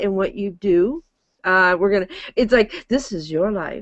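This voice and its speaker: Here a woman talks with a slight Michigan accent. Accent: slight Michigan nasal. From Michigan, US. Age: 60s. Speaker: talk show host. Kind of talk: interview chat.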